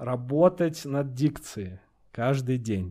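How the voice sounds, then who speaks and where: Speaking at a very slow pace, the man holds a medium pitch with ordinary pitch variation. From Russia, Astrakhan. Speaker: stand-up comedian. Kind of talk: casual chat.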